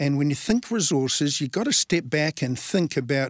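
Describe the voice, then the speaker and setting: A man with a New Zealand accent, fairly high pitch, and lively intonation at a moderate pace, in a dry, close sound with no echo. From New Zealand, Invercargill (Southland). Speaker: natural resources fund manager. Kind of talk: interview.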